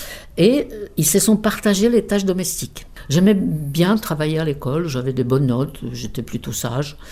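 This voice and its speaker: A woman's very deep, low voice with a dark, mellow tone, very wide pitch swings, big swings in loudness and a moderate pace. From Czech Republic, South Bohemia. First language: Czech (speaking French). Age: 70s. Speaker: interpreter, emigrant interviewee. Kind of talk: life story interview.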